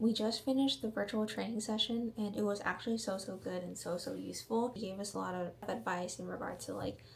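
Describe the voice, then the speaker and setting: The speaker talks at a very fast pace with hardly any pauses. Noticeable background noise runs underneath. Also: woman, medium pitch for a woman, ordinary pitch variation. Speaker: vlogger. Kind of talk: casual vlog talk. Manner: quiet.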